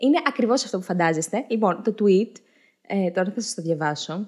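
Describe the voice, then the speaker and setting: The speaker sounds animated and moves at a fairly quick pace. The background is quiet. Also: woman. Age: 20s. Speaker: comedic political commentary host. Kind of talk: comedic monologue. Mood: ironic, humorous. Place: home room. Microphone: studio mic.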